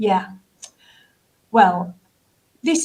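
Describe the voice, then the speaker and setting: A somewhat breathy voice is heard. It belongs to a woman. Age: 60s. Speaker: business school careers director. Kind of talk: interview.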